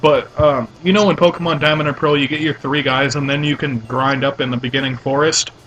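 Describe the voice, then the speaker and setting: A man speaks quickly-ish with a fairly high pitch and fairly even intonation, hardly pausing. Noticeable background noise runs underneath. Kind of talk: casual let's play commentary.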